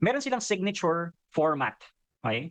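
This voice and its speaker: A man against a quiet background. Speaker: coach. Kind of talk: Q and A session. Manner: loud.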